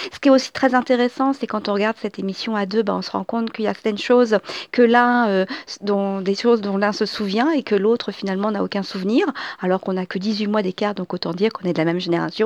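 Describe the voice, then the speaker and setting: A woman talks at a very fast pace at a medium pitch. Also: ordinary pitch variation, dry, close sound with no echo. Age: 40s. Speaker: podcaster. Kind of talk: casual monologue. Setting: at home. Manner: halting.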